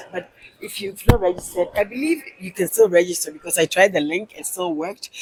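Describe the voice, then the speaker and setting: Speech at a fairly quick pace, with ordinary pitch variation and big swings in loudness, runs over noticeable background noise. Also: woman, medium pitch for a woman. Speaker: interviewer, channel host. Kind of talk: casual interview host talk.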